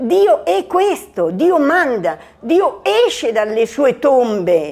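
The speaker talks at a very slow pace. Their pitch swings very widely. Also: woman. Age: 70s. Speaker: lay missionary worker. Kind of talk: testimony.

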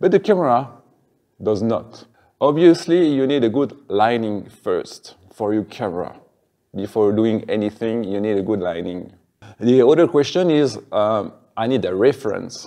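A man with a French accent, medium in pitch, with lively intonation and a dark, mellow tone, against a quiet background. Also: moderate pace. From French-speaking Switzerland. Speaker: video tutorial creator. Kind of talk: tutorial. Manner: hesitant, with fillers. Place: classroom. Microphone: lapel.

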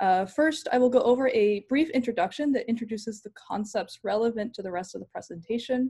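A woman with a dark, mellow tone speaks at a fairly quick pace and a fairly high pitch, with ordinary pitch variation. The background is quiet. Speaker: PhD candidate. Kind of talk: lecture. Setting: video call. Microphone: video call.

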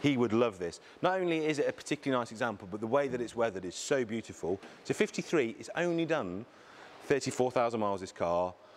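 A man speaks fast with few pauses, at a medium pitch and with lively intonation.

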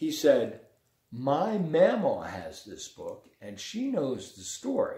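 A man speaks slowly at a medium pitch, his voice slipping into vocal fry. The tone is dark and mellow, with very wide swings in pitch.

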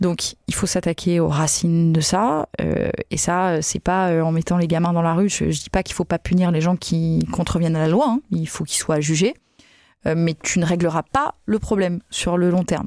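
A woman speaks at a moderate pace with a fairly low pitch and fairly even intonation. The sound is dry with no echo, and the background is quiet. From southern France, Nîmes; southern France. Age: 30s. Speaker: politician, party spokesperson. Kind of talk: interview. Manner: hesitant with many fillers. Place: studio. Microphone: studio mic.

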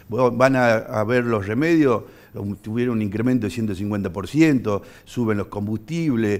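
Speaking at a fairly slow pace, a man lets his pitch vary in an ordinary way. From Argentina, Tucumán (Bellavista); Tucumán, Argentina. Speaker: politician; politician guest. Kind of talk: studio interview. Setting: TV studio. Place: studio. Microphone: headset.

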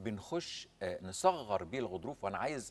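His intonation is lively. The man's pitch is fairly low. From Egypt. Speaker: ENT surgeon; guest. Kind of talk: medical interview. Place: studio. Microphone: lapel.

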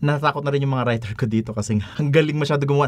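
A somewhat breathy male voice. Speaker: tech reviewer. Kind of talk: casual product review commentary. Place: studio.

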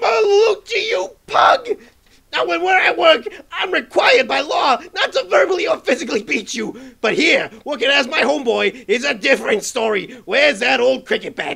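Using a put-on character voice, a man speaks at an extremely high pitch and a moderate pace. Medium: comedy sketch. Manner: gruff, swaggering, short-tempered tough guy.

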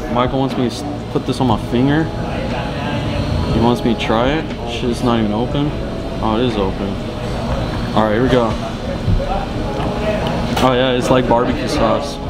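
Loud background noise surrounds a man speaking at a moderate pace. He leaves long, frequent pauses. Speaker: food vlogger. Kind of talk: casual vlog chat. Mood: amused, curious. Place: cafe. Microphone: phone near.

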